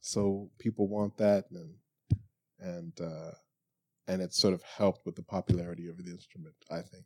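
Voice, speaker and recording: The voice has a dark, mellow tone and ordinary pitch variation. It moves at a fairly slow pace in a dry, close sound with no echo. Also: man. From Toronto, Canada, partly raised in Florida. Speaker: jazz bassist and bandleader. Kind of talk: casual interview. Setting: studio.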